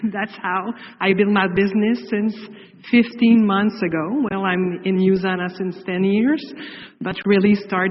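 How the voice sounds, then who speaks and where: Speaking with a French accent, a woman talks at a medium pitch and a fairly slow pace. There is noticeable background noise. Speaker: direct sales distributor. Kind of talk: presentation.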